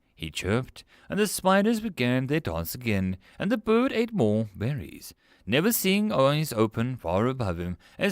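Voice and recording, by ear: A natural voice reading text aloud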